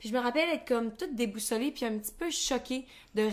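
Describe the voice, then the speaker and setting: A woman speaks in a Quebec accent. Her pitch is high. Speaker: podcast co-host. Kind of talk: casual chat.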